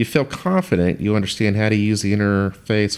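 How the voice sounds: The text is read in a natural reading voice. Nothing about the delivery sounds put on.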